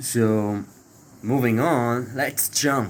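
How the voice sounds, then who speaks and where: A man speaks with a non-native accent. His pitch varies in an ordinary way. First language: not English. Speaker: spiritual video creator. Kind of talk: spiritual talk to camera. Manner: halting with fillers.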